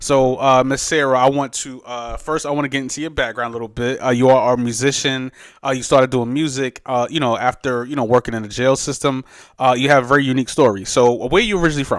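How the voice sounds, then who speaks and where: A man in a New York accent at medium pitch, very fast pace and fairly even intonation, in a very clean recording with a silent background. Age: 30s. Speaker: podcast host and DJ. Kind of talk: interview podcast. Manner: halting, many fillers.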